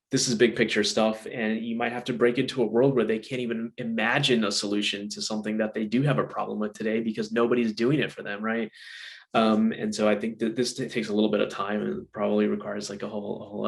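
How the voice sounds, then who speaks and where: A man talks very fast in a medium pitch, with hardly any pauses. His intonation is flat and monotone, with vocal fry. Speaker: product management consultant and webinar speaker. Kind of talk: webinar presentation.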